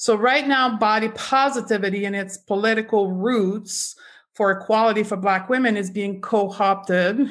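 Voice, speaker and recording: The recording is very clean, with a silent background. An ordinary speaking voice moves at a moderate pace with fairly even intonation. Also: woman. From Canada. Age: 40s. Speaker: clinical nutritionist. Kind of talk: interview.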